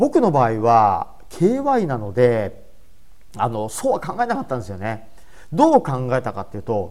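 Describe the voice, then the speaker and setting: Talking at a moderate pace, a man shows big swings in loudness. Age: 50s. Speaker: comedian and presentation coach. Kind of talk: solo podcast talk. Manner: casual.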